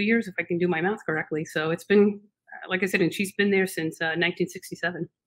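A woman's voice at a fairly quick pace with fairly even intonation, over a quiet background. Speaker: remote podcast guest. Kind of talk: interview answer. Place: home room.

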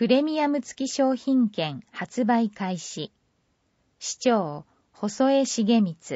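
Speaking at a very slow pace, a woman with a fairly high pitch makes very wide pitch swings. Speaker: newsletter narrator. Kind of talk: reading aloud. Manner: formal.

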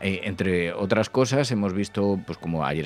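A man speaks at a moderate pace with a very deep, low pitch. The sound is dry, with no echo. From Spain. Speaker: radio host. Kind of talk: casual chat. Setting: studio. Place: studio.

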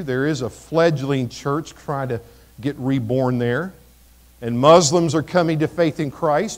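A man speaks at a moderate pace with an American accent. His pitch is fairly high, with ordinary variation. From Missouri, US Midwest. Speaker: pastor. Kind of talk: sermon. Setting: church. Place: church.

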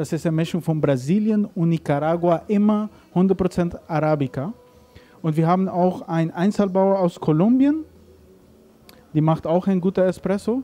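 A man with a non-native accent, high pitch, ordinary pitch variation and a moderate pace. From Caribbean, Aruba. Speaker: coffee roaster and shop owner. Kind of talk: interview. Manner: halting. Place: cafe. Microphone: handheld.

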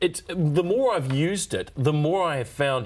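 A moderate pace with ordinary pitch variation. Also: man. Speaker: guest. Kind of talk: interview answer. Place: studio. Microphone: lapel.

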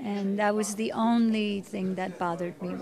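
A woman talks at a fairly slow pace with ordinary pitch variation. Noticeable background noise sits behind her. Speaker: actress being interviewed. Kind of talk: interview answer. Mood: warm, reflective. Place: home room.

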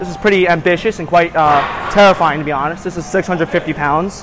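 Clear music plays in the background as a man talks at a fairly quick pace. His intonation stays fairly even. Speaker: lifter vlogger. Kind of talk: casual vlog chat. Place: gym. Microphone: lapel.

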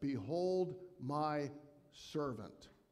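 Only a man's voice stands out in the quiet background. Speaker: guest pastor. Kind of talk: sermon. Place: church.

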